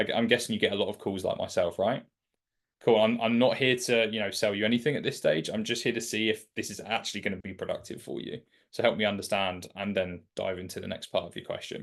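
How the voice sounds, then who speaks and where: Against a quiet background, a man with a British accent talks at a very fast pace. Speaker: sales mentor. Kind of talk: mentorship session. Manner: casual, filler-heavy.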